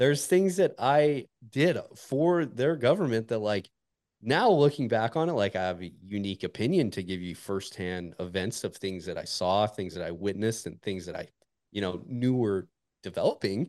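The background is quiet as a man speaks with an American accent. His pitch makes very wide swings. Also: medium pitch for a man, moderate pace. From northern Montana, US. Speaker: military special operations veteran and golf podcast host. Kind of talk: casual interview chat.

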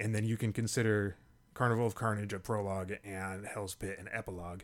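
An unremarkable speaking voice with an American accent, at a moderate pace, on a very clean recording with a silent background. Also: man. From Tacoma, Washington. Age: 40s. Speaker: podcast host. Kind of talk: casual chat.

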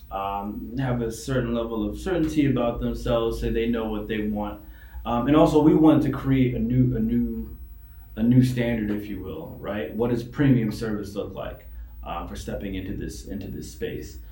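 Noticeable background noise and audible room echo fill the recording. The talking moves at a moderate pace. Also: man, big swings in loudness. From New York City. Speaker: men's grooming entrepreneur. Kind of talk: casual chat.

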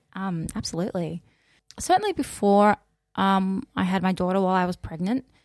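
In an Australian accent, a woman speaks at a fairly quick pace and medium pitch, with ordinary pitch variation. The recording is very clean, with a silent background and a dry, close sound with no echo. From Australia, Mildura (country Victoria). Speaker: teacher. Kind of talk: casual chat. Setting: studio.

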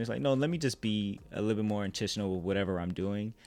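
Over music in the background, a man with an American accent speaks in a fairly low pitch with ordinary pitch variation. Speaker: filmmaker. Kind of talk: casual interview chat.

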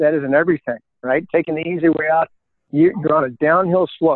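In a plain, everyday voice, a man speaks at a moderate pace in a fairly high pitch with ordinary pitch variation. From US, Colorado. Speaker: retired military officer and speaker. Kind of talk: interview.

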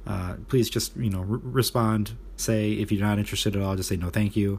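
A man is speaking. His voice is somewhat breathy. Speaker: fantasy football league commissioner and podcast host. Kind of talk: casual solo podcast monologue. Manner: casual, many filler words.

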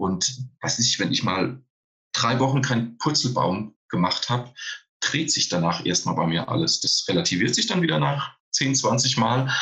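With a bright, sharp tone and medium pitch, a man speaks with lively intonation at a very even loudness. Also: moderate pace. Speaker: stuntman. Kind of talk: casual chat.

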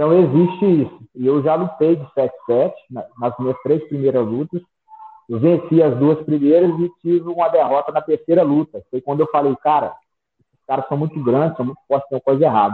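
This man has an ordinary speaking voice, fairly high in pitch, with ordinary pitch variation and big swings in loudness. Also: moderate pace. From Brazil, Minas Gerais (Sete Lagoas). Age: 30s. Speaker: MMA fighter. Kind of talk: interview.

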